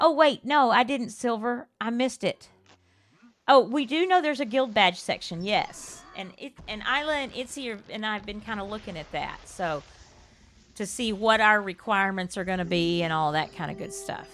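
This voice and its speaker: A woman with a South Texas accent talks at a fairly high pitch, her voice swinging very widely up and down. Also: moderate pace. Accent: Southern Texas. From US South, Texas. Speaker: game streamer. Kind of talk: casual chat. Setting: live stream.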